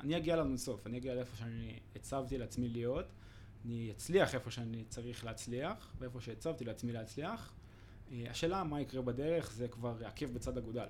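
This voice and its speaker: A man's somewhat breathy voice at a medium pitch, with ordinary pitch variation. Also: moderate pace. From Israel, Ra'anana. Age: 20s. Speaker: fitness instructor and law student, former combat soldier. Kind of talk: casual interview.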